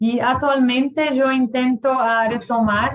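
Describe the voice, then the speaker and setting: A woman's fairly slow speech with a Portuguese accent. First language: Portuguese (speaking Spanish). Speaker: professor. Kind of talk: lecture. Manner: halting.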